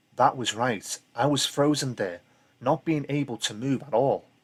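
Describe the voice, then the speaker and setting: With a Liverpool accent, a man speaks at a fairly slow pace. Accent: Liverpool (Scouse). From Liverpool, England. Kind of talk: ghost story reading.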